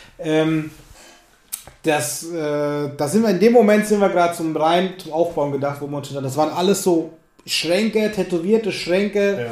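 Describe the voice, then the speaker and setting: Noticeable noise sits behind a male speaker whose pitch varies in an ordinary way. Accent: Lower Franconian. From Lower Franconia, Germany. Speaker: podcast host, musician. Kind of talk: casual interview chat.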